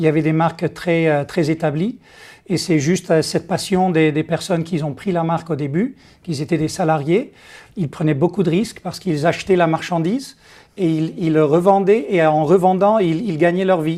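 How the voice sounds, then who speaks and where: This man has a Dutch accent and a high pitch. His tone is dark and mellow. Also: ordinary pitch variation, moderate pace. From Netherlands. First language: Dutch (speaking French). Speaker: company executive. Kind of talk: interview. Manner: halting, many hesitations.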